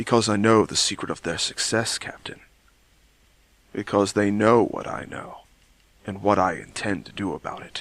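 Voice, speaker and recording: Using a put-on character voice, a man speaks at a moderate pace and fairly low pitch, leaving long, frequent pauses. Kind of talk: audio drama dialogue.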